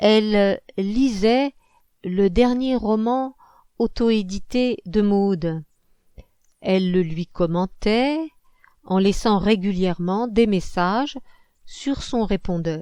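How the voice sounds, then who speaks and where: Speaking at a very slow pace with long, frequent pauses, a woman has a dark, mellow tone and ordinary pitch variation. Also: medium pitch for a woman. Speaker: novelist reading own book. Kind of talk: audiobook narration.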